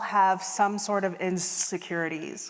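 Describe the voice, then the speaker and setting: A woman talks at a very slow pace with a Midwestern American accent and ordinary pitch variation. Noticeable background noise sits behind her. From US Midwest. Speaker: keynote speaker and empathy consultant. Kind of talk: keynote talk. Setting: stage with audience.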